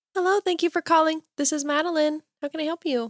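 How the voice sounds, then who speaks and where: A high-pitched, put-on character voice at a very fast pace. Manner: cheery, polished phone voice.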